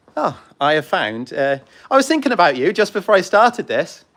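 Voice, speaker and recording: With a British accent, a man talks using very wide pitch swings. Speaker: model railway YouTuber and heritage railway volunteer. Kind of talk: livestream casual chat. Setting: outdoors on a railway platform. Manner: fast; hesitant with many ums.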